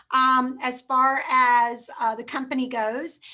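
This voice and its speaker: A woman speaks in a raised, projected voice with a bright, sharp tone and a high pitch. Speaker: direct sales team leader. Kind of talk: team meeting presentation. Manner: subdued, not loud.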